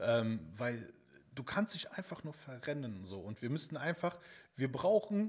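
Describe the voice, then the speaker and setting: This is a man with a somewhat breathy voice. He talks at a moderate pace. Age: 30s. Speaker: fitness content creator. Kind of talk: casual chat.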